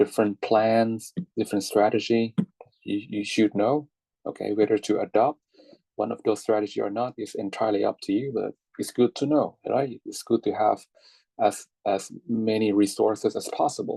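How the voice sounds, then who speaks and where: Here a man talks with a Thai accent at a moderate pace. The sound is dry and close, with no echo. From Thailand. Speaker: English teacher. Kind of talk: online class lecture. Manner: halting, many fillers and repetitions.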